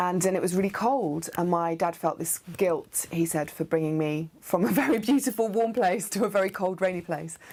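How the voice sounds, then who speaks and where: A woman speaks with an English Midlands accent at a medium pitch with ordinary pitch variation. Her pace is moderate, with hardly any pauses. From English Midlands (Nuneaton, near Coventry). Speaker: theatre artist. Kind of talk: interview monologue about identity. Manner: hesitant, many fillers.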